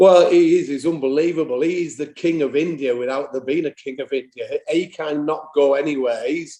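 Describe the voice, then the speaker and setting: Speaking with a Yorkshire accent, a man uses a fairly high pitch and a dark, mellow tone. He goes at a fairly quick pace with hardly any pauses and fairly even intonation. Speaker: football manager. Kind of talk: interview.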